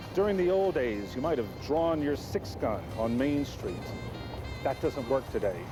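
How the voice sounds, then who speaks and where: Over music in the background, a man talks at a moderate pace with very wide pitch swings. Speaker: infomercial host narrator. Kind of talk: infomercial narration, 1980s TV promo.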